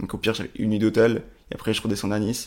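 A man speaks with a fairly low pitch and fairly even intonation. The recording is very clean, with a silent background. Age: 20s. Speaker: video production entrepreneur. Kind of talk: interview. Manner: halting.

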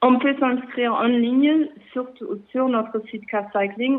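Woman at a fairly slow pace with ordinary pitch variation. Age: 40s. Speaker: cycling association founder. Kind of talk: interview. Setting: phone call. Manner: halting.

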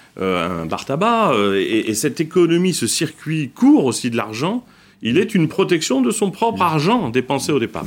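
Music plays in the background as a man talks at a moderate pace. His fairly high pitch makes very wide swings. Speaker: founder of a consumer food brand. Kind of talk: debate interview.

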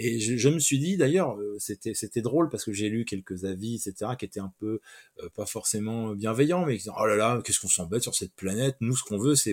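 With lively intonation and a medium pitch, a man talks at a fairly quick pace in a dry, close recording with no echo. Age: 50s. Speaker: comic book writer. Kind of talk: interview. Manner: halting.

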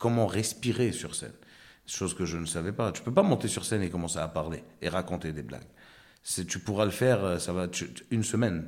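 Fairly quick delivery from a man with a very deep, low pitch and ordinary pitch variation. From Morocco and Ivory Coast. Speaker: comedian. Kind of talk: interview chat.

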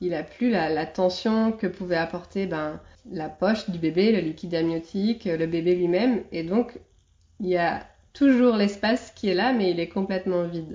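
Her pace fairly slow, a woman talks at a medium pitch with ordinary pitch variation. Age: 30s. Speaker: doula. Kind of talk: interview monologue. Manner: hesitant with fillers.

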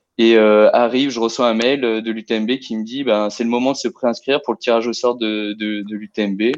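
Speaking at a moderate pace with hardly any pauses, a man keeps his intonation fairly even. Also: medium pitch for a man. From Lyon region, France. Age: 30s. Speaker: amateur trail runner. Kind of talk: interview, personal race story. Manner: hesitant, many fillers and repetitions.

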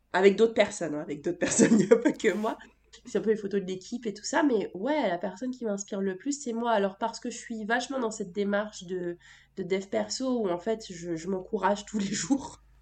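A woman with a plain, everyday voice at medium pitch, fairly quick pace, ordinary pitch variation and big swings in loudness. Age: 20s. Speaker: entrepreneur and business coach. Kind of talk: casual interview.

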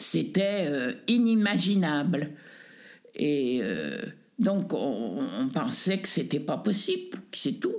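A woman with a medium pitch talks at a very slow pace, her pitch swinging very widely. Long, frequent pauses break up her speech, and room echo is audible. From Savoie, French Alps (Tignes). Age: 80s+. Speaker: displaced villager, retiree. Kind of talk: testimony. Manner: halting.

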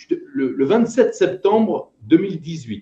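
Very wide pitch swings in a man's voice of dark, mellow tone. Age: 50s. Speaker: entrepreneur and voice actor. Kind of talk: interview conversation. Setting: video call. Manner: hesitant, repeats words.

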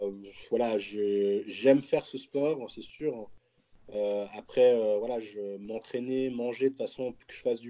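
This man speaks very slowly at a medium pitch, with long, frequent pauses. His intonation is fairly even, while his loudness swings widely. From French-speaking Switzerland, near Geneva. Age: 20s. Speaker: professional bodybuilder. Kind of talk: casual chat.

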